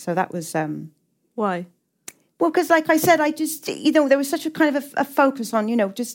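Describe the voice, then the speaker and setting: In a very clean recording with a silent background, a woman talks at a moderate pace with very wide pitch swings. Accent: English. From England, working-class town. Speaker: novelist. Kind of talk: onstage literary conversation. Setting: stage with audience.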